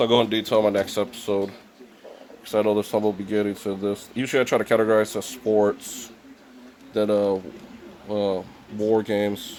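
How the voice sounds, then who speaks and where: Over noticeable background noise, a man talks at a fairly quick pace with a fairly low pitch. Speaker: video game collector vlogger. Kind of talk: casual vlog. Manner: halting.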